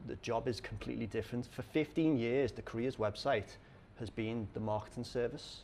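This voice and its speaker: A man with a Liverpool accent speaks at a medium pitch. His intonation is fairly even, with vocal fry. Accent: Scouse. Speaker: conference speaker on recruitment. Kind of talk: conference talk. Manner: halting, many fillers.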